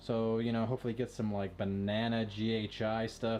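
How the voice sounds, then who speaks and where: With music in the background, a man speaks at medium pitch. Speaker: reptile breeder. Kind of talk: casual video tutorial. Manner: casual, conversational.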